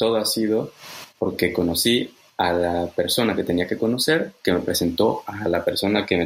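A man's voice, fairly low in pitch. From Mexico. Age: 30s. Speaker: conference interpreter and translator. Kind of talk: interview.

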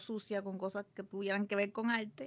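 The background is silent and the recording very clean. A woman talks at a middle pitch. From Puerto Rico, Guaynabo. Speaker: artist and art teacher. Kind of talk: interview. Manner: halting, many repetitions and fillers.

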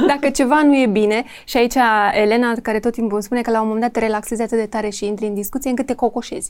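On a very clean recording with total background silence, a woman talks very fast at a fairly high pitch. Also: fairly even intonation. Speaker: podcast host. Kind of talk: casual interview.

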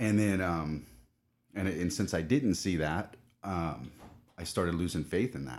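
A man with an American accent and very deep, low pitch, vocal fry, a fairly slow pace, and long, frequent pauses. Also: ordinary pitch variation. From Southern California. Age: 30s. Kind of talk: casual interview chat.

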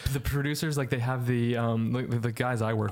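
Noticeable noise sits behind the speaker. He is a man talking very fast. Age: 30s. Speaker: podcast host. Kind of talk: casual chat.

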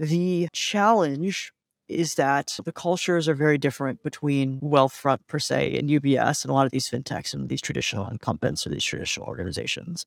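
With a normal speaking voice, a man talks at a fairly quick pace with hardly any pauses, his fairly high pitch showing ordinary variation in a very clean, silent recording whose dry, close sound has no echo. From US Midwest, Cleveland, Ohio. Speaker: tech startup founder and CEO. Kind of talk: interview.

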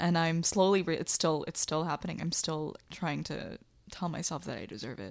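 Vocal fry colors this woman's fairly low, ordinarily varied pitch as she speaks at a moderate pace. The recording is very clean with a silent background. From US, raised by Bangladeshi immigrant parents. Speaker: artist and poet. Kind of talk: candid interview.

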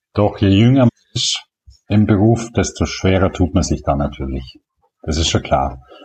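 A man speaks at a moderate pace with a very deep, low pitch and vocal fry. His pitch swings very widely, and he takes long, frequent pauses. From Allgäu, Bavaria, southern Germany. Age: 60s. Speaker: veterinarian and blogger. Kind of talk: interview.

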